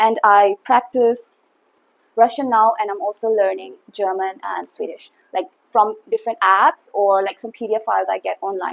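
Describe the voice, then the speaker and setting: A woman with an Assam accent, in a dry, close sound with no echo. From India, Assam. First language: Assamese. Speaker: YouTuber. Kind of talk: casual talk to camera. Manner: hesitant, many fillers.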